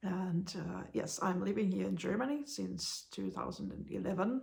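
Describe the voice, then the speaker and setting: A woman with a Finnish accent at a fairly slow pace. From Finland. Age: 40s. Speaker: blind vlogger. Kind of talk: casual vlog monologue. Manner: halting, many hesitations.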